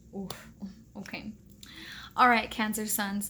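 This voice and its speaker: Here a woman speaks at a moderate pace. Her tone is bright and sharp, her intonation monotone and flat. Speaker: tarot reader. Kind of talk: tarot reading vlog. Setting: hotel room.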